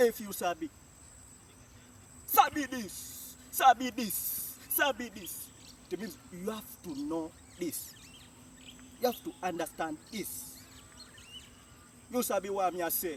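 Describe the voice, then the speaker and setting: A high-pitched man's very slow, lively-toned speech with long, frequent pauses and big swings in loudness, amid noticeable background noise. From Jamaica. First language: Jamaican Patois. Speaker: language teacher. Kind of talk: tutorial.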